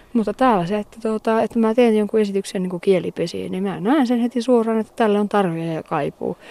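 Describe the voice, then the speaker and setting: A woman's dark, mellow, medium-pitched voice at a fairly quick pace with hardly any pauses, ordinary pitch variation, and a dry, close sound with no echo. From Finnish Lapland, Inari. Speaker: theatre director and Sámi activist. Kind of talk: interview. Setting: outdoors on a fell top.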